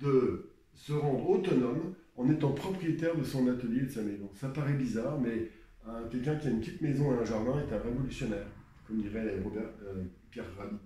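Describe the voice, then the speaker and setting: Noticeable background noise and audible room echo fill this recording. A man with a medium pitch talks at a fairly quick pace with ordinary pitch variation. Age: 60s. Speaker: painter. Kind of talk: advice talk. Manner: halting.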